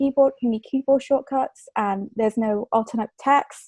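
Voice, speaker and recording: A woman with an English accent, fairly high pitch, a dark, mellow tone, ordinary pitch variation and a moderate pace, in a dry, close sound with no echo. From England. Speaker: communication fellow. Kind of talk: presentation.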